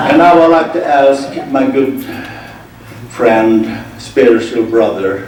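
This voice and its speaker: With noticeable background noise and audible room echo, a man is speaking. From Sweden. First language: Swedish. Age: 60s. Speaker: conference speaker. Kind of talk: conference talk. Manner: halting.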